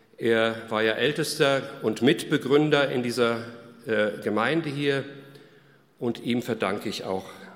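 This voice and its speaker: A man speaks at a medium pitch, very slowly, with long, frequent pauses. Audible room echo surrounds his voice. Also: ordinary pitch variation. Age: 60s. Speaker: pastor. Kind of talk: sermon.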